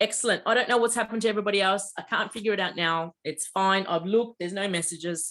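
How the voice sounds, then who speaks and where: Pitched at a medium level with ordinary pitch variation, a woman talks in a plain, everyday voice. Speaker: mediumship teacher. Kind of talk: online class instruction. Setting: video call.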